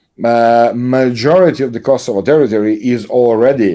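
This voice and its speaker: In a Serbian accent, a man with a medium pitch and a dark, mellow tone speaks at a moderate pace with lively intonation. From Serbia, Belgrade. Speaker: political commentator. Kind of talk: interview conversation. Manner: halting, many fillers.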